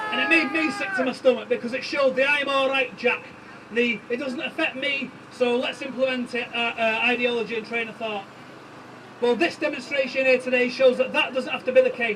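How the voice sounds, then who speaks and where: With a Manchester accent, a man speaks in a raised, projected voice at an extremely high pitch, his intonation fairly even over noticeable background noise. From East Manchester, England. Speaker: union organiser. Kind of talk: rally speech. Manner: impassioned.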